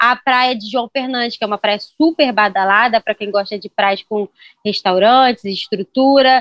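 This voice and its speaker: In a Carioca accent, a woman talks at a fairly slow pace with fairly even intonation. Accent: carioca Brazilian Portuguese. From Rio de Janeiro, Brazil. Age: 30s. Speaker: travel blogger. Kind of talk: podcast interview.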